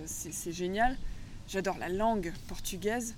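A woman is speaking. Her pace is fairly slow. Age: 30s. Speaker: agroecology school founder and former agricultural teacher. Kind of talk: interview. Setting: outdoors by the sea.

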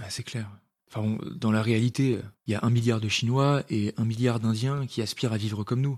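In a normal speaking voice, a man talks at a moderate pace with fairly even intonation on a very clean recording with a silent background. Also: medium pitch for a man. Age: 20s. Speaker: podcast co-host, medical resident. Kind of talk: scripted dialogue.

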